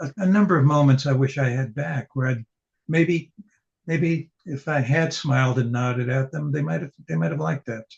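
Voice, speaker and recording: Speaking at a moderate pace, a man with a fairly high pitch sounds somewhat breathy, his intonation lively and the sound dry and close with no echo. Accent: American. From New York City (the Bronx). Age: 80s+. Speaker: poet and novelist. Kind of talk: interview conversation. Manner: halting.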